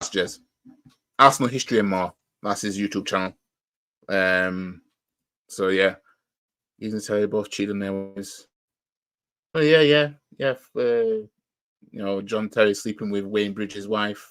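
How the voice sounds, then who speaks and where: A man with a fairly low pitch and ordinary pitch variation speaks with long, frequent pauses on a very clean recording with a silent background. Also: moderate pace. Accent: Yorkshire. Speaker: football fan YouTuber, live reaction streamer. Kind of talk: casual live stream chat. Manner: halting, many fillers.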